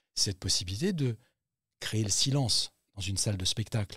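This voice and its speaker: A man speaks at a fairly quick pace in a fairly low voice, with ordinary pitch variation and a dry, close sound free of echo. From Central Africa. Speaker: actor. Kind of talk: interview. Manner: animated.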